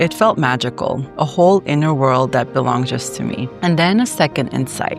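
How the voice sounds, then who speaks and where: A woman speaks with a very deep, low pitch and very wide pitch swings at a moderate pace. Music plays in the background. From Armenia. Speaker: licensed psychologist. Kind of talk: casual talk to camera.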